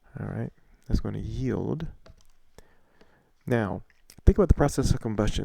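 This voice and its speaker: A man's voice shows vocal fry and very wide swings in pitch. He keeps a moderate pace. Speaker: science educator. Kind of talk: lecture. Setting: home recording at night. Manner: quiet; halting. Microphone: poorly placed mic.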